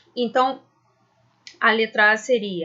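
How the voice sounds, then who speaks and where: In an ordinary speaking voice, a woman speaks at a fairly high pitch with ordinary pitch variation. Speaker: school science teacher. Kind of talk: lecture. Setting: recorded video lesson.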